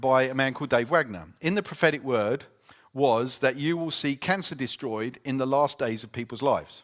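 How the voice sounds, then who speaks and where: Using an English accent, a man speaks fairly quickly at medium pitch. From Britain. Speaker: conference speaker. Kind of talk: talk and Q&A at church conference.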